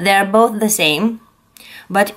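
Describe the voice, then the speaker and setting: A woman talks at a fairly high pitch. Her pitch varies in an ordinary way. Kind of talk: tutorial. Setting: home, filmed by husband. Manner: halting, many fillers.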